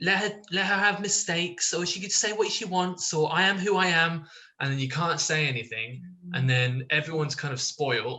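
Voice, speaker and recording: Speaking with an English accent at a moderate pace, a man uses a high pitch with ordinary pitch variation. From England, born in Israel. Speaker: online discussion participant. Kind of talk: casual chat. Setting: video call.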